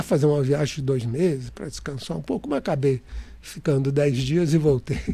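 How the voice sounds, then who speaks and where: Somewhat breathy, this man's voice sits fairly high in pitch, with a dark, mellow tone, ordinary pitch variation, and a moderate pace. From interior of São Paulo state, Brazil (Catanduva). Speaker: real estate developer and engineer. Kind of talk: interview storytelling. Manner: halting with many restarts.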